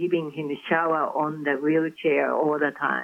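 A woman speaks with a Japanese accent at a fairly low pitch. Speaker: author. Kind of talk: interview. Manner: halting.

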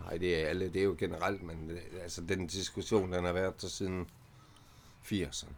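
Speech at a moderate pace in a monotone, flat intonation, broken by long, frequent pauses. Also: man, very deep, low pitch for a man. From Denmark, Vejle. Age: 50s. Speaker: early retiree, former drug user. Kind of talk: casual interview. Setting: allotment garden outdoors.

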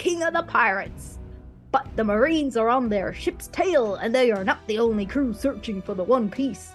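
Someone puts on a character voice while clear music plays in the background. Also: female-sounding voice. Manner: pirate talk.

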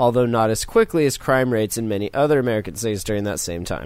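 With medium pitch and ordinary pitch variation, a man talks in an unremarkable speaking voice. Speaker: podcast host. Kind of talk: casual chat.

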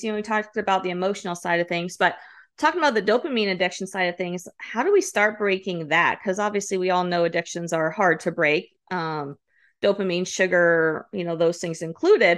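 A woman speaks at a fairly quick pace in an unremarkable speaking voice. Her pitch is medium and the background is quiet. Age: 40s. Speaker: podcast host. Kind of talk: casual chat.

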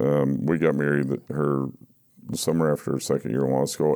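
Very deep and low in pitch, a man with an American accent speaks at a moderate pace with fairly even intonation over noticeable background noise. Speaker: recovery guest sharing story. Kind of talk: interview, personal recovery story.

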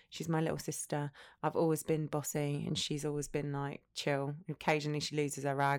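Very clean and silent in the background, the recording has a woman with an Essex accent speaking fairly quickly in a very deep, low voice with monotone, flat intonation. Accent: southern English, Essex. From Essex, England. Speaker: entrepreneur, former teacher. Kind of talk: casual chat.

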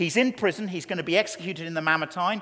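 This man has an English accent and a high voice. His tone is bright and sharp, his intonation lively. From England. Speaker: preacher. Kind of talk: sermon.

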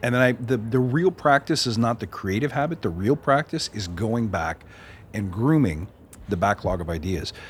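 The man's voice is somewhat breathy at a medium pitch, with very wide pitch swings. He speaks at a moderate pace. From Canada. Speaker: podcast host. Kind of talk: casual interview. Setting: conference speakers' lounge.

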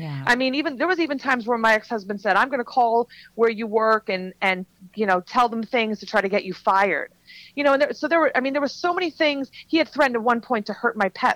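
In a dry, close sound with no echo, a woman talks very fast at a fairly high pitch with lively intonation. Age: 40s. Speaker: author and transformational coach. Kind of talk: podcast interview, personal testimony.

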